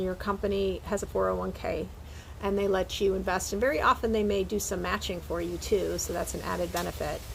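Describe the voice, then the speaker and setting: Audible room echo trails a woman's voice as she talks. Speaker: professor. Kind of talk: lecture. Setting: recorded video talk with slides.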